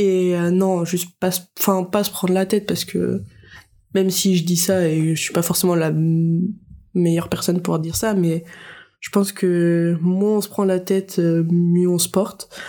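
Here a woman talks with a fairly low pitch and a dark, mellow tone. She speaks at a fairly slow pace in a monotone, flat intonation, with long, frequent pauses. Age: 20s. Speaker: young mother. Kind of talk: casual interview.

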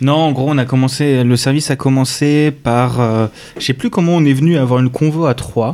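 At a moderate pace, the voice has a dark, mellow tone, fairly even intonation and very even loudness. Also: man, medium pitch for a man. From France, Strasbourg suburbs (Alsace). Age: 20s. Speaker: software developer. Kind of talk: casual chat.

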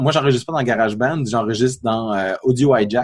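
The speaker has a Quebec accent and talks at a fairly quick pace with ordinary pitch variation. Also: man. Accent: Québécois. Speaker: app developer and podcast co-host. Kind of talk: casual chat.

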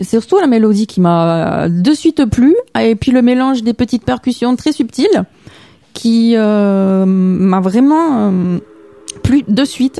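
Her intonation rises and falls with lots of life. The woman delivers her words very slowly. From Toulouse, southern France. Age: young. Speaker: musician. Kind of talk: radio interview. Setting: radio studio.

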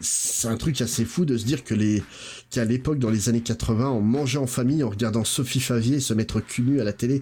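A man speaks in a dark, mellow tone that is somewhat breathy, at a medium pitch and a moderate pace. His intonation is fairly even and his loudness very even. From Portuguese heritage, grew up in France. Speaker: podcast guest, pop-culture commentator. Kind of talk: casual chat.

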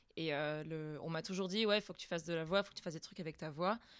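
A woman with a plain, everyday voice speaks at a fairly low pitch with ordinary pitch variation in a very clean recording with a silent background. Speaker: amateur voice actress. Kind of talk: casual chat.

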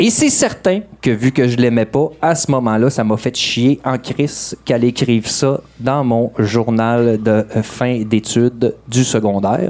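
Delivered at a very slow pace, the speech has hardly any pauses. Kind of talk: live comedic monologue.

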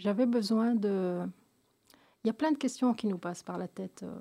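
A woman speaks with a dark, mellow tone at a medium pitch. Her pitch varies in an ordinary way. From Belgium, of Moroccan descent. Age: 50s. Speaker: association founder, cancer survivor. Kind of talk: radio interview. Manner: halting, many hesitations and repetitions.

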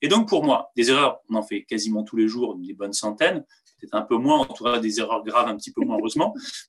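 With big swings in loudness, a man speaks at a very fast pace. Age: 40s. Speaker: former military pilot and squad leader. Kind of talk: interview. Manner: halting, with fillers.

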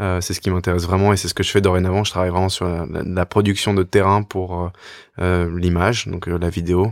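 A man's very deep, low voice with monotone, flat intonation at a moderate pace, dry and close with no echo, on a very clean recording with a silent background. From France. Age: 20s. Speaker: podcast co-host. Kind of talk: casual discussion.

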